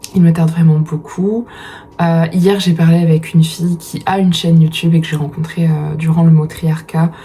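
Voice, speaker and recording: Monotone, flat delivery amid noticeable background noise. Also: woman, fairly low pitch for a woman, moderate pace. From France, Dordogne (Périgord). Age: 30s. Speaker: vlogger and writer. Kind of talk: casual vlog talk. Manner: hesitant, many fillers.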